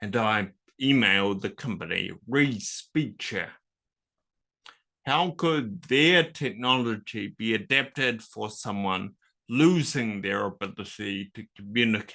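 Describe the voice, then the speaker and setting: Over a quiet background, a man with a New Zealand accent talks at a very slow pace in a medium-pitched, bright, sharp voice with lively intonation. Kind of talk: talk to an audience. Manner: slurred speech.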